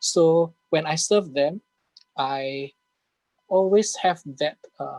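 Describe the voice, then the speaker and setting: With an Indonesian accent, a man speaks very slowly in a high pitch with ordinary pitch variation, the sound dry and close with no echo. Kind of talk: casual Q&A in an online English class.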